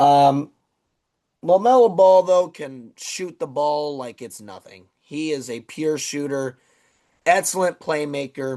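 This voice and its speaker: This man has a fairly high pitch. He speaks at a very slow pace. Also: ordinary pitch variation. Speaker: sports podcast host. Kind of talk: solo sports podcast commentary. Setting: recording alone at night. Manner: halting, repeats words.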